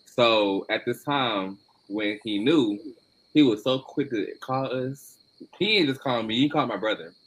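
A man speaks at a moderate pace, his pitch medium with ordinary variation. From Atlanta, Georgia, US South. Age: 20s. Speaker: podcast guest. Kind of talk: casual chat.

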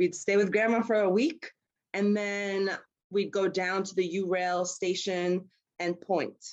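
A woman with a New York accent, fairly slow and fairly even in intonation. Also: medium pitch for a woman. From New York City, Queens. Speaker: outdoor travel company founder. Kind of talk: casual interview.

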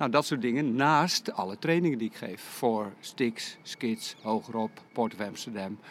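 A man speaks at a medium pitch with ordinary pitch variation and hardly any pauses. He has a plain, everyday voice. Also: fairly slow pace. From Netherlands, Lek region (South Holland). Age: 60s. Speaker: skating coach. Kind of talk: interview.

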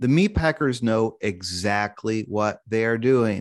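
In a normal speaking voice with an American accent, a man talks at a fairly slow pace with lively intonation over a quiet background. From US Midwest, Kansas City. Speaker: investigative reporter and author. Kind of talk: interview.

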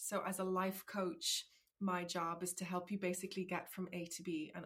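At a moderate pace, a woman speaks with monotone, flat intonation. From Ireland. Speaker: life coach. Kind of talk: interview.

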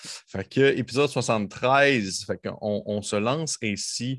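A man speaks with a Quebec accent. His pitch is medium. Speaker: game master of a role-playing podcast. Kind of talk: tabletop role-playing narration. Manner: animated.

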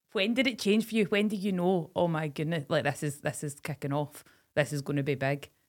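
Speaking at a fairly quick pace with lively intonation, a woman with a Scottish accent has a very deep, low voice. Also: very clean recording, silent background. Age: 20s. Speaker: podcast co-host, former farming tutor. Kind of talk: casual chat.

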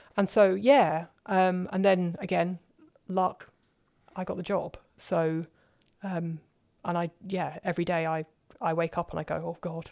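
With a southern English accent, a woman speaks at a fairly slow pace, fairly low in pitch, with fairly even intonation and long, frequent pauses. The recording is very clean, with a silent background. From London, southern England. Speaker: professor. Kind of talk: interview.

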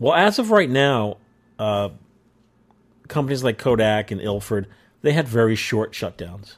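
With a New York accent, the speaker goes at a fairly slow pace, using ordinary pitch variation and long, frequent pauses. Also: man, medium pitch for a man. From New York area. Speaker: podcast host. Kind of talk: casual chat. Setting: video call.

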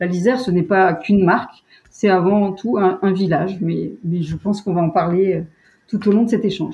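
A woman's somewhat breathy voice at medium pitch, moderate in pace, with fairly even intonation. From French Alps (Savoie). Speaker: tourism communications director. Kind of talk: interview. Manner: hesitant, many fillers.

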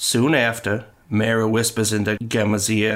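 A natural voice reading aloud

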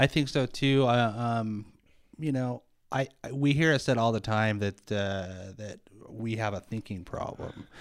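A man at medium pitch and a fairly slow pace, with ordinary pitch variation, on a very clean recording with a silent background. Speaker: podcast co-host. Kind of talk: casual chat. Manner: conversational, hesitant with filler words.

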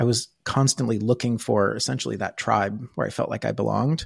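An unremarkable speaking voice, a man with an American accent speaks at a moderate pace and medium pitch with fairly even intonation, in a dry, close sound with no echo and a quiet background. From rural US. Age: 40s. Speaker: tech innovation lead. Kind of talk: interview conversation.

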